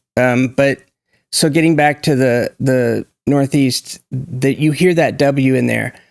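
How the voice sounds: A man with an American accent speaks slowly at a medium pitch, his tone slightly mellow with vocal fry. The recording is very clean, with a silent background. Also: ordinary pitch variation.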